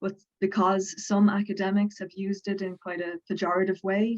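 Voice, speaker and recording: A woman speaks with a Dublin accent. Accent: Southern Irish (Dublin). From Ireland, Dublin. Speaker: folklorist and religion lecturer. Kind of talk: interview on academic topic.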